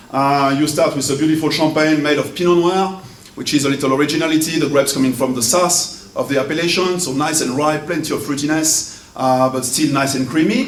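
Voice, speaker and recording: With a French accent, a man at fairly high pitch talks at a fairly quick pace with hardly any pauses and ordinary pitch variation, over noticeable background noise and audible room echo. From France. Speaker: wine importer. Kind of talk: event speech.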